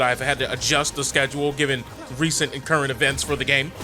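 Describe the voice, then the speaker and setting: Over noticeable background noise, a man talks at a very fast pace in an animated tone. His pitch sits fairly high. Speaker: gaming YouTuber. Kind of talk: video game commentary.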